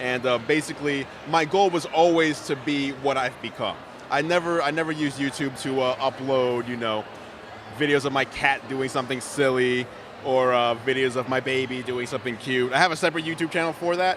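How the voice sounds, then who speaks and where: A man speaks fairly quickly while noticeable background noise plays underneath. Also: medium pitch for a man. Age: 30s. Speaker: tech YouTuber and website owner. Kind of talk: interview. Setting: live event, convention floor. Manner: louder than usual, animated.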